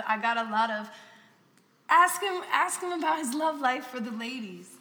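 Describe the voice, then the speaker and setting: A woman speaks at a moderate pace with lively intonation while noticeable background noise runs behind her. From Florida. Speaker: podcast host. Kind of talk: casual interview.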